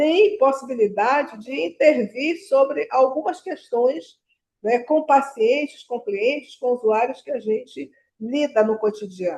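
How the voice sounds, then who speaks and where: Her voice is high-pitched, and this woman speaks with lively intonation. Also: fairly slow pace. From Brazil. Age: 70s. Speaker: nurse educator. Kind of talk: lecture. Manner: halting.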